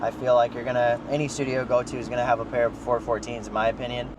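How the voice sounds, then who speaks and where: The tone of this man's voice is relaxed. Noticeable background noise sits behind him. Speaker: music producer and studio owner. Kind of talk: casual vlog explanation. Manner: casual, relaxed.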